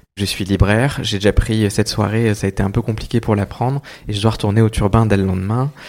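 Talking very fast, this man has a fairly low pitch and keeps his intonation fairly even. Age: 30s. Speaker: children's author. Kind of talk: public talk at bookshop event. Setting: bookshop event with audience.

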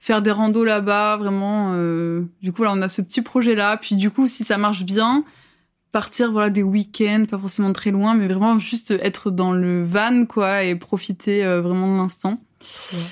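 In a very clean recording with a silent background, a woman speaks fairly slowly at a medium pitch with fairly even intonation. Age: 20s. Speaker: work-study student in video production. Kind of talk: casual interview chat. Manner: hesitant, many fillers.

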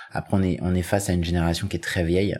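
The man's voice sits very deep and low. The recording is very clean, with a silent background. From Paris suburbs (Seine-Saint-Denis). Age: 30s. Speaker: podcast interviewee. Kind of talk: personal testimony. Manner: hesitant.

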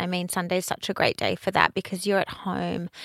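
A woman with an Australian accent speaks at a medium pitch in a very clean recording with a silent background and a dry, close sound without echo. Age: 30s. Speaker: fashion business owner and brand ambassador. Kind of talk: casual interview.

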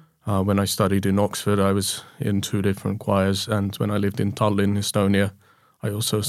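Speaking with a British accent, a man has a fairly low pitch and fairly even intonation. He moves at a fairly quick pace, and the recording is very clean with a silent background. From UK. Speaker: composer. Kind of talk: interview conversation.

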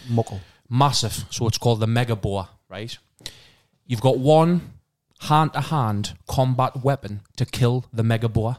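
With a northeast England accent, this animated speaker talks at a fairly slow pace with ordinary pitch variation, on a very clean recording with a silent background. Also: man, medium pitch for a man. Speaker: podcast host. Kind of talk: casual chat. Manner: animated, swears a lot.

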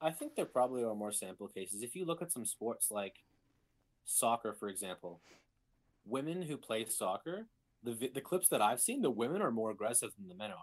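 This is an ordinary speaking voice, a man's, with medium pitch and lively intonation at a fairly quick pace. The recording is very clean, with a silent background. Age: 20s. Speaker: podcast guest. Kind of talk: casual chat.

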